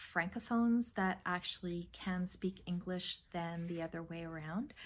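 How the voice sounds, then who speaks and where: A woman at a medium pitch and a fairly slow pace, with ordinary pitch variation, in a very clean recording with a silent background. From New Brunswick, Canada. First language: French. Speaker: knitting podcaster. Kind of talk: casual Q&A video. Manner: hesitant, many fillers.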